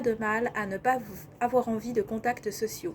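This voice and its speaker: At a moderate pace, a woman talks in a normal speaking voice, fairly high in pitch with ordinary pitch variation. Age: 30s. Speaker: life coach. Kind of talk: vlog monologue.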